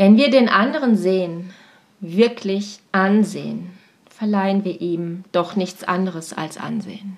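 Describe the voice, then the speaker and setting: The woman talks at a very slow pace. Her medium pitch shows ordinary variation. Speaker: teacher and coach. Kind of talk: personal podcast monologue.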